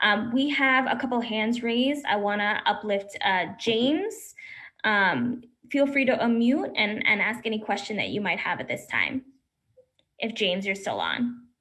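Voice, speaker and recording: Speaking at a moderate pace, a woman has a fairly high pitch, a bright, sharp tone and ordinary pitch variation. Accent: American. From Brooklyn, New York. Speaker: forum host and council candidate. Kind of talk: moderating a forum. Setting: video call.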